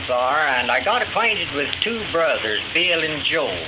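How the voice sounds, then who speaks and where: Amid noticeable background noise, a man with an American accent talks at a high pitch with very wide pitch swings. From Galax, Virginia, USA. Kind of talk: folk interview anecdote, storytelling. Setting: 1937 archival field recording.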